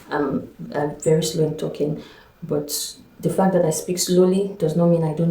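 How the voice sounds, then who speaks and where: In a room with audible echo, a woman speaks at a moderate pace, her fairly low pitch showing ordinary variation. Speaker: vlogger, school administrator. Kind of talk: personal vlog testimony.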